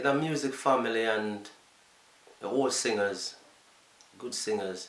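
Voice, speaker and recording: With a Jamaican accent, a man talks at a fairly slow pace amid noticeable background noise and audible room echo. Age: 50s. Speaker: DJ. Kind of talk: interview.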